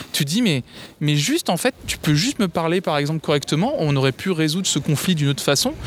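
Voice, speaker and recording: A man talks at a fairly quick pace in a fairly high pitch, with lively intonation and very even loudness. It is an ordinary speaking voice, with a dry, close sound and no echo. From France, Tours. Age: 20s. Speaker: music streamer. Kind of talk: casual interview.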